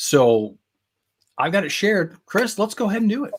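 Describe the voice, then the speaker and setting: The speaker has a Midwestern accent. The pace is moderate. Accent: Midwestern accent (self-noted). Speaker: LEGO fan show host. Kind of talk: casual live-stream chat. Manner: animated.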